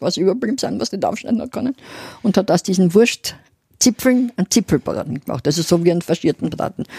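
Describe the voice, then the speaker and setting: With vocal fry and a dark, mellow tone, a woman speaks at medium pitch and a fairly quick pace, her pitch swinging very widely in a dry, close sound with no echo. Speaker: podcast co-host, city history storyteller. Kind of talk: casual chat.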